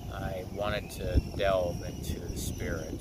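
With loud noise behind him, a man speaks at a fairly slow pace in a dry sound with no echo. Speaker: wellness coach. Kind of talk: channel intro monologue. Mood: calm, earnest. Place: waterside. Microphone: phone near.

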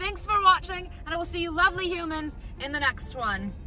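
A raised, projected voice in a Southern California accent, with an upbeat tone, a fairly quick pace and music in the background. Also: woman, dry sound with no echo. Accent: Valley Girl. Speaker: YouTuber, channel host. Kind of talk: casual vlog outro. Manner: upbeat, chatty. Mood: cheerful, affectionate. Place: car. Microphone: phone near.

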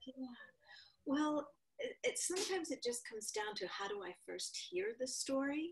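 Over light background noise, a woman with an American accent speaks at a moderate pace in a high voice that swings very widely in pitch. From rural eastern Connecticut. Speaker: author and writing teacher; writing teacher. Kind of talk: interview. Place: home room. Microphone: video call.

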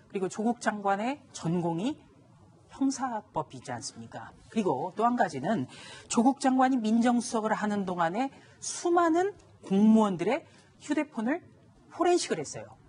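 Delivered at a moderate pace, the speech has very wide pitch swings. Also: woman, fairly high pitch for a woman. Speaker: journalist, news panelist. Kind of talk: TV news panel discussion. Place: studio. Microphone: lapel.

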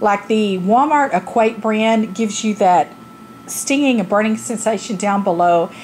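Light background noise sits behind a woman who speaks at a moderate pace with ordinary pitch variation. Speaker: product reviewer. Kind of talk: casual product review vlog. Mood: candid, humorous. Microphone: phone near.

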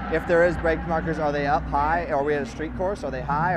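Loud background noise accompanies a man's voice. The sound itself is dry, with no echo. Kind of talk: interview answer. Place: garage. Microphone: lapel.

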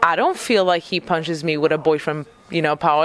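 At a moderate pace, a woman speaks in a dry sound with no echo over light background noise. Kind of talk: interview answer. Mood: relaxed, laughing at times. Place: shop. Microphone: handheld.

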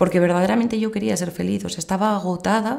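The voice has a dark, mellow tone over a quiet background. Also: woman. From Madrid, Spain; Spain. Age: 30s. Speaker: pilgrimage organizer; interviewee. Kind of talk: testimony. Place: home room.

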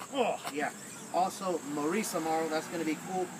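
Noticeable background noise can be heard. Over it, a man talks. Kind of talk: casual list of call-outs. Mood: light, joking. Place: garden. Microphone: camera far.

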